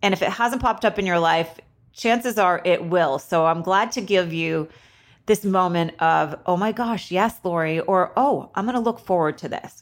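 A woman with an American accent has an ordinary speaking voice, medium in pitch with ordinary pitch variation. She talks at a moderate pace on a very clean recording with a silent background. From Vermont, US. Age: 50s. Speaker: podcast host, esthetician and spa owner. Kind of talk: solo podcast monologue.

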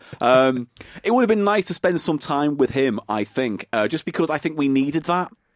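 A man with an unremarkable speaking voice talks at a moderate pace, his fairly high pitch carrying lively intonation. The sound is dry and close, with no echo. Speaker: podcast host. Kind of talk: casual banter podcast. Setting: Skype call with guest. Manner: chatty, jokey.

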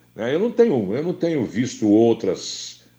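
His tone is dark and mellow, and this man speaks at a fairly slow pace. His pitch swings very widely against a quiet background. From Campinas, São Paulo state, Brazil. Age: 70s. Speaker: sports commentator. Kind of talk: interview. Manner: hesitant, many fillers and repetitions.

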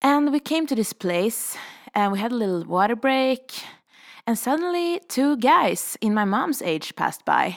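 A woman with a Swedish accent talks at a fairly slow pace and high pitch, making very wide pitch swings, in a very clean recording with a silent background. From Sweden, Stockholm. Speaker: podcast host. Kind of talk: storytelling monologue.

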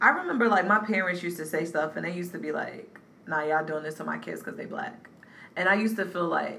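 In an American accent, a woman with a fairly low pitch talks very fast with ordinary pitch variation, amid audible room echo and noticeable background noise. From North Carolina. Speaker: podcast co-host. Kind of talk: casual chat.

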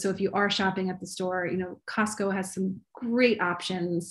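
A woman speaks at a medium pitch in a somewhat breathy voice. The recording is very clean, with a silent background. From US East Coast, Maryland. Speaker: recipe developer and cooking teacher. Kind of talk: casual interview.

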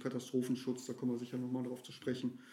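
The man's dark, mellow tone sits at a medium pitch. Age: 40s. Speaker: water rescue volunteer and social worker. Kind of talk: interview.

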